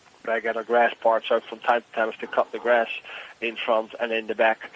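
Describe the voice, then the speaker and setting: A man's voice, dry and close with no echo, over noticeable background noise. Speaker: boiler room share scammer. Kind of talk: sales phone call.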